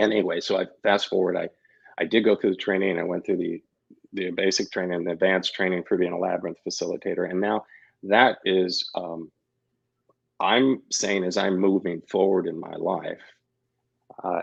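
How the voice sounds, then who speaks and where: A man speaks in a Midwestern American accent. His pace is moderate. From Missouri, Kansas City. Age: 60s. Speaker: labyrinth facilitator and yoga teacher. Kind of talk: interview, personal story. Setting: radio show. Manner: halting, many false starts.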